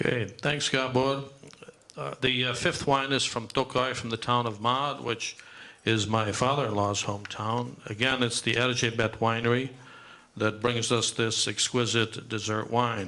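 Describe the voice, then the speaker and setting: Here is a man with an unremarkable speaking voice and a medium pitch. He talks at a fairly slow pace with fairly even intonation. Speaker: event host. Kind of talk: presenting wines at a live event. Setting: dinner event venue.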